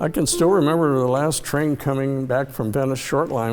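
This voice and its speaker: Over music in the background, a man talks at a fairly quick pace with medium pitch and fairly even intonation. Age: 80s+. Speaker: transit history enthusiast. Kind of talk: casual reminiscing on location tour.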